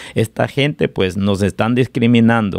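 A man talks in a normal speaking voice, pitched in the medium range, with ordinary pitch variation. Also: dry, close sound with no echo. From Guatemala, Jutiapa (eastern). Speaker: restaurant owner. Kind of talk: interview.

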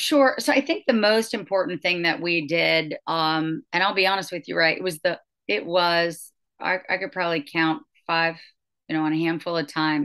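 A woman with an American accent, fairly low in pitch with ordinary pitch variation, a bright, sharp tone and a moderate pace over a quiet background. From West Virginia. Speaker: mayor. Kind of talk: interview. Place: office. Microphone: video call.

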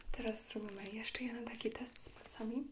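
A soft-spoken woman with a gentle tone sounds somewhat breathy over light background noise. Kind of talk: ASMR roleplay. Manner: soft-spoken, gentle ASMR voice. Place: home room. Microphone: lapel.

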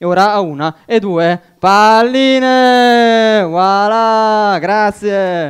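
Against a quiet background, a man with a high pitch speaks at a very slow pace. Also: ordinary pitch variation, hardly any pauses. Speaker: amateur magician. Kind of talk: magic show patter. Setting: stage with audience. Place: stage. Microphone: headset.

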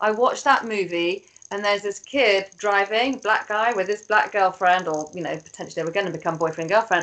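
With a British accent, a woman speaks at a fairly quick pace with hardly any pauses and ordinary pitch variation. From England. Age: 40s. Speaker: PR strategist; guest. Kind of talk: panel discussion. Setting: video call. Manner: animated. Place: home room. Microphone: video call.

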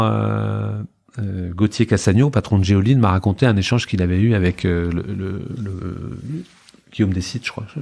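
This man's pitch varies in an ordinary way as he talks fairly slowly. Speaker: entrepreneur. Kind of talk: interview. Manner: halting, many repetitions; talkative.

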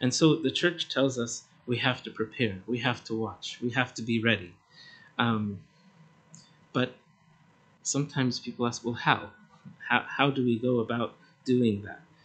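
Pausing long and often, a man talks at a moderate pace with fairly even intonation. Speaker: priest. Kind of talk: sermon. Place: church. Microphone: podium.

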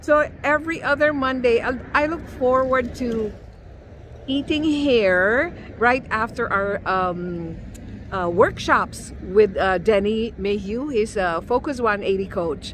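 A woman at a very slow pace with lively intonation, in a dry recording with no echo and light background noise. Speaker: food vlogger. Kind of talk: casual vlog chat. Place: street. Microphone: phone near.

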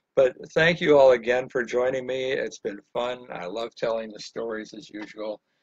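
A man with a normal speaking voice and an American accent, moderate pace with hardly any pauses, big swings in loudness, ordinary pitch variation, and a dry, close sound with no echo. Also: medium pitch for a man. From Illinois, Chicago area, then Miami Beach from 13. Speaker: painting instructor. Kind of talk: live painting tutorial with casual storytelling.

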